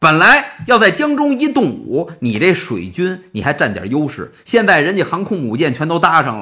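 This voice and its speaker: In a Beijing accent, the speaker talks at a moderate pace with hardly any pauses, a bright, sharp tone and very wide pitch swings. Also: man, high pitch for a man. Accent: Beijing Mandarin. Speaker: storyteller. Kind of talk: traditional storytelling performance. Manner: animated.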